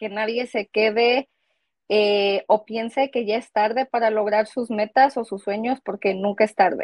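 Against a quiet background, a woman talks fairly slowly at a fairly high pitch with fairly even intonation, the sound dry with no echo. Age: 30s. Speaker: GED graduate and cosmetologist; interviewee. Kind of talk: interview. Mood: proud, encouraging. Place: home room. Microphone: earbuds.

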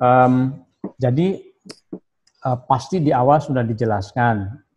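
A somewhat breathy male voice with ordinary pitch variation, set against a quiet background. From Indonesia, West Java (Sundanese). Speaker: professor of Islamic philology. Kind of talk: guest lecture. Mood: relaxed, humorous. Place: office. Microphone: video call.

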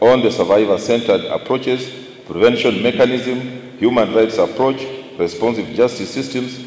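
Audible room echo hangs around the speaker. He is a man talking at a moderate pace. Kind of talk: formal speech. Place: hall. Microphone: podium.

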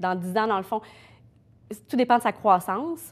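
A woman's medium-pitched voice, with ordinary pitch variation, unfolds at a fairly slow pace. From Quebec. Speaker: mother of a sick child. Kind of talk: interview. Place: studio.

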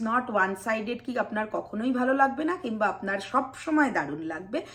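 A woman's voice with lively intonation. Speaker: vlogger. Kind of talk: personal vlog monologue.

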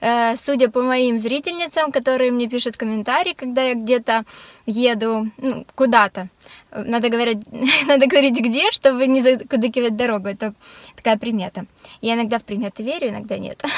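A high-pitched woman's voice, dry with no echo. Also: ordinary pitch variation, moderate pace. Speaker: vlogger. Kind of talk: casual vlog chat. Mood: cheerful, relaxed. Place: car. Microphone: phone near.

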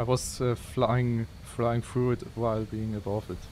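Light background noise sits behind a man speaking very slowly at a medium pitch. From Switzerland. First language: Swiss German. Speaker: video game streamer. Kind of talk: live gameplay commentary. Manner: casual, chatty with viewers. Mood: playful, teasing. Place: home room. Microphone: headset.

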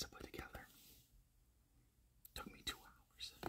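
Whispering, a man goes along at a fairly quick pace. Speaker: ASMR creator. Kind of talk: ASMR personal attention, casual talk to camera. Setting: recorded on a phone without a mic. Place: home room. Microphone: phone near.

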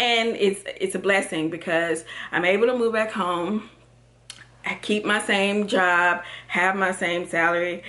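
Speaking with an American accent, a woman uses a medium pitch and fairly even intonation at a fairly slow pace. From Texas. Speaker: lifestyle vlogger; vlogger. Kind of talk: casual vlog monologue; casual vlog chat. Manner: rambling, filler-heavy. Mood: warm, reflective. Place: home room. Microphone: phone near.

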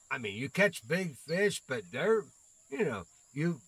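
A man with a bright, sharp tone and vocal fry, fairly high in pitch with very wide pitch swings, at a moderate pace. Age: 60s. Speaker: gaming streamer. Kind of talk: casual live-stream gameplay chat. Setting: live stream with voice chat. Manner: chatty, laughs often.

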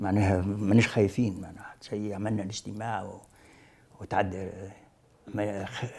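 A man speaks fairly slowly and at a fairly low pitch, with monotone, flat intonation. His loudness swings widely, and he takes long, frequent pauses. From Tunisia, Sahel (Moknine); Tunisia. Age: 70s. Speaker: veteran leftist activist; witness. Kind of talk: testimony interview. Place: office. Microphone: lapel.

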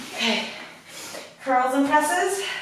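Strong room echo and light background noise surround a woman who talks at a fairly slow pace. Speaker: fitness instructor. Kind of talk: workout instruction. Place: home room. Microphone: camera far.

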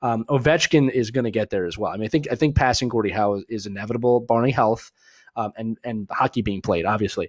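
In a dry, close recording with no echo, a man with a Philadelphia accent talks very fast at a medium pitch with ordinary pitch variation. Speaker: hockey show host. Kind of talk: casual live chat. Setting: live video stream.

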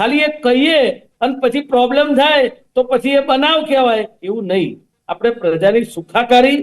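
A man speaks at an extremely high pitch. The background is quiet. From Ahmedabad, Gujarat. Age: 50s. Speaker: political panelist. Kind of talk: heated debate. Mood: critical, argumentative. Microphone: video call.

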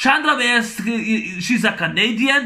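A man with a high pitch speaks in a raised, projected voice at a fairly slow pace against a quiet background. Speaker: movie reviewer vlogger. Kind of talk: angry rant, movie review. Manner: loud, exasperated, foul-mouthed; repetitive, rambling, blunt insults. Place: home room. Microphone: webcam.

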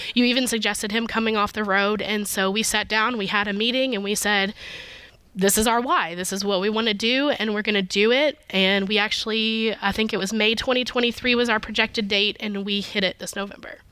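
In an ordinary speaking voice with an American accent, a woman talks at a fairly high pitch and a fairly quick pace with fairly even intonation, against a quiet background with dry sound and no echo. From US South. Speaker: pharmacy operations supervisor; guest. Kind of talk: casual chat. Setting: stage with audience. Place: studio. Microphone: headset.

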